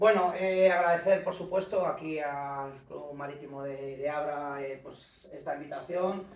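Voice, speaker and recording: Shouting at a moderate pace, a man with a fairly high pitch keeps his intonation fairly even, amid audible room echo and noticeable background noise. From Castile, Spain (Íscar, Valladolid). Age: 50s. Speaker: ocean rower and adventurer. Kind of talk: lecture. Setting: conference room with small audience, no microphone. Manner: loud, half shouting.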